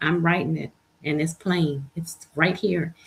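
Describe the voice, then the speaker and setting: A woman talks at a moderate pace. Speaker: livestream host. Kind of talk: inspirational livestream talk. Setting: live stream.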